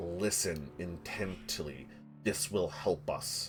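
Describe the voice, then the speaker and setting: In a put-on character voice, a man talks at a very slow pace with a very deep, low pitch over clear background noise. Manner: eerie, urgent.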